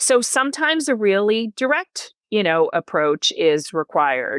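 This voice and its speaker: A woman with an American accent at a fairly slow pace, very wide pitch swings, and a dry, close sound with no echo. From US Northeast, New Jersey. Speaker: executive coach. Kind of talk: podcast interview.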